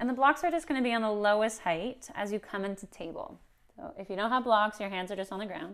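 Very fast, lively speech from a woman against a quiet background. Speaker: yoga instructor. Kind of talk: tutorial. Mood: friendly, a bit nervous, laughing. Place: home room. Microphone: camera far.

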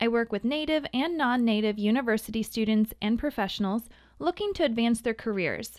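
A woman's ordinary speaking voice, fairly high in pitch, with an American accent, lively intonation and a moderate pace, in a very clean recording with a silent background and a dry, close sound with no echo. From US Midwest (Missouri). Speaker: communication coach, podcast host. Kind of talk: scripted podcast monologue.

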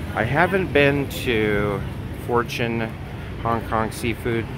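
Noticeable background noise sits behind a man's voice, and the sound is dry with no echo. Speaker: travel vlogger. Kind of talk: casual vlog narration. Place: street. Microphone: phone near.

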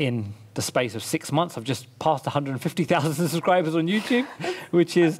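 Here a man is speaking. He keeps a moderate pace with ordinary pitch variation. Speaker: podcast guest, fitness trainer. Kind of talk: interview answer. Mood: upbeat, a bit amused. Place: home room. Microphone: headset.

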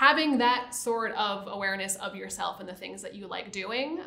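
A woman with an American accent speaks with ordinary pitch variation. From US Northeast, New Jersey Shore; New Jersey. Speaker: site reliability engineer; interviewee. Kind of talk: interview. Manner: casual, many fillers. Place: studio. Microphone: lapel.

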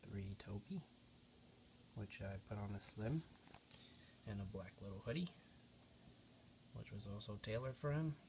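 The speaker talks at a moderate pace. Noticeable background noise runs under the voice. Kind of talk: casual walkthrough commentary. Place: home room. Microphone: phone near.

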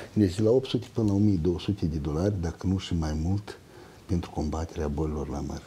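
In a dark, mellow tone, a somewhat breathy man speaks at a very deep, low pitch and a moderate pace, with ordinary pitch variation. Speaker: plant protection researcher; guest. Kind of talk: expert interview. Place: studio.

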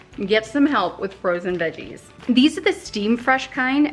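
A woman speaking at a fairly quick pace, with faint music in the background. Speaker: cooking vlogger. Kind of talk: casual tutorial vlog chat. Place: kitchen. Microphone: phone near.

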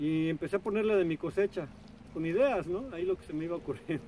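Light background noise sits under a man talking at a moderate pace, the sound dry with no echo. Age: 40s. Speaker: artist and video blogger; video blogger. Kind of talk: casual vlog monologue. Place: waterside.

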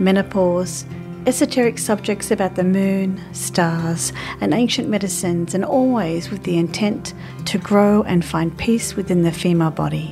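A woman speaks at a moderate pace in a fairly low pitch with ordinary pitch variation. Music plays in the background. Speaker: podcast host. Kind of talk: podcast intro.

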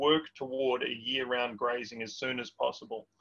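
Against a quiet background, a man with an Australian accent talks at a moderate pace with fairly even intonation. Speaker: webinar host. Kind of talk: Q&A moderation. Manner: hesitant, many fillers. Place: home room. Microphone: webcam.

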